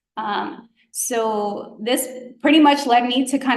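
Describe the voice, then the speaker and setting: A woman's voice with ordinary pitch variation carries audible room echo. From Georgia, US South (grew up there undocumented from childhood). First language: Spanish. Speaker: physician, guest speaker. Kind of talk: presentation to students. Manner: casual, many fillers (um, like).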